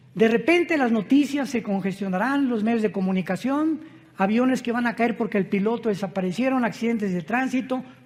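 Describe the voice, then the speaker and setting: Pitched extremely high, a man speaks at a fairly quick pace with ordinary pitch variation. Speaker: preacher. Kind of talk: sermon.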